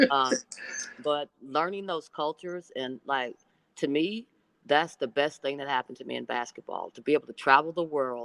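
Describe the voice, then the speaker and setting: The speaker has an Oklahoma accent and talks at a moderate pace with ordinary pitch variation. The sound is dry and close with no echo. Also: woman, very deep, low pitch for a woman. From Oklahoma, US. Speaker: basketball coach, former pro player. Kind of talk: podcast interview.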